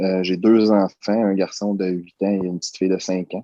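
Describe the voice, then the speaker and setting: A dark, mellow tone with fairly even intonation and a dry, close sound free of echo. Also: man. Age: 30s. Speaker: security worker, coaching client. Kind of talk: testimony. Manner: halting.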